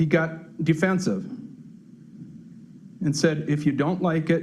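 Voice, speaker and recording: A man speaks very slowly with an Upper Midwest accent and a fairly high pitch. Audible room echo surrounds his voice. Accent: Upper Midwest American. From Farmington, Minnesota. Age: 60s. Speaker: retired construction worker, resident. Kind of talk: public comment at city council meeting. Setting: city council meeting.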